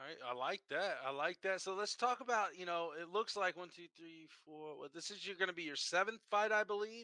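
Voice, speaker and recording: Speaking at a moderate pace with hardly any pauses, a man with a high pitch and ordinary pitch variation has a bright, sharp tone, big swings in loudness, and a dry, close sound with no echo. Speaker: combat sports show host. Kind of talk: interview. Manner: halting.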